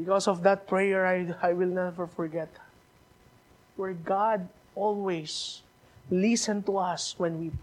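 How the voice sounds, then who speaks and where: A man talks in a high pitch with monotone, flat intonation. He leaves long, frequent pauses. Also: fairly slow pace. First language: Filipino language (Tagalog or regional). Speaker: missionary preacher. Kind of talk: sermon. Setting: church. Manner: halting, repeats words.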